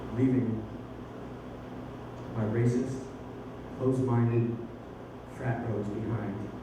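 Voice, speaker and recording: A man with a medium pitch talks at a very slow pace in monotone, flat intonation, with long, frequent pauses. Noticeable background noise runs underneath. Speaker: actor. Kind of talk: spoken word poetry performance.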